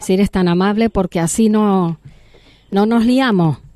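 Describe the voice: A woman talks at a fairly slow pace with medium pitch, a dark, mellow tone and ordinary pitch variation. The recording is dry and close, with no echo.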